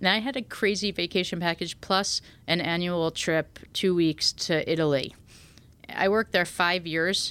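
A woman talks at a moderate pace in a fairly low voice with ordinary pitch variation. Her loudness stays very even, and the recording is very clean with a silent background. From US Northeast, New Haven. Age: 40s. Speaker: chef. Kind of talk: podcast interview.

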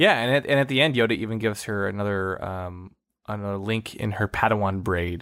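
A man talks at a fairly quick pace with a plain, everyday voice, fairly low pitch and ordinary pitch variation. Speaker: podcast co-host. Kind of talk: casual chat.

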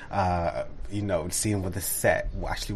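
With a British RP accent, a man speaks at a fairly slow pace, his fairly low pitch showing ordinary variation. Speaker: stage actor. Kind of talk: interview.

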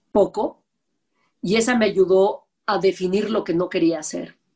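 The woman's voice is somewhat breathy. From Mexico. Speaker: TV producer and host. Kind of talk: interview conversation. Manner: blunt, direct.

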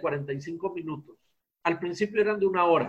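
High-pitched male voice at a moderate pace with ordinary pitch variation. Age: 50s. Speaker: psychologist and hypnotherapist. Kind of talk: interview conversation.

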